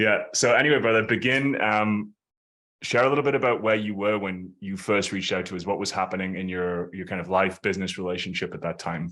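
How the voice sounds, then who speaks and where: A man's fairly low pitch with a bright, sharp tone, ordinary pitch variation and a fairly quick pace. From northeast England, Ashington, Northumberland. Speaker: coach, podcast host. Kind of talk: interview. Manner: casual.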